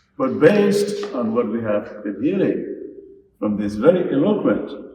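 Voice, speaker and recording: Audible room echo around a man talking fairly slowly. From Gambia. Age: 70s. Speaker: speaker on national affairs. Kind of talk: lecture.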